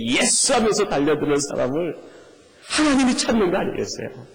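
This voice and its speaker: A man's voice swings very widely in pitch amid noticeable background noise and audible room echo. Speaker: pastor. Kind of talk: sermon. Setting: church. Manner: animated, engaging congregation.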